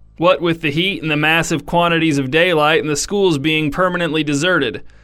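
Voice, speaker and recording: A man talks at a moderate pace in a plain, everyday voice. His pitch is fairly high. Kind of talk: mock-epic fable narration, absurdist scripted storytelling read straight-faced. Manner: dryly ironic, delivering absurd claims with total sincerity.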